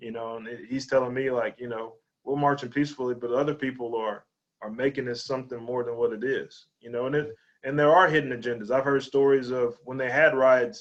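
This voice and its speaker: Speaking at a fairly quick pace, a man with a medium pitch keeps his intonation fairly even while his loudness swings widely. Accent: Texas. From East Texas, Lufkin. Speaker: high school athletic director and coach. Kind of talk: interview conversation. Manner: halting, with many repetitions.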